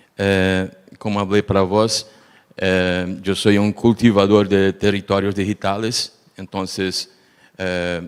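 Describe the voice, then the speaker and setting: A man speaks with a Portuguese accent. His pace is fairly slow and his pitch fairly low. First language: Portuguese (speaking Spanish). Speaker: researcher, panelist. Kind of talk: panel discussion.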